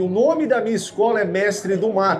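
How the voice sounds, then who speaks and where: There's noticeable background noise and audible room echo as a man with a high voice and ordinary pitch variation talks at a moderate pace. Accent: Minas Gerais. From Brazil, Minas Gerais. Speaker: survival instructor. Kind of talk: lecture. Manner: animated.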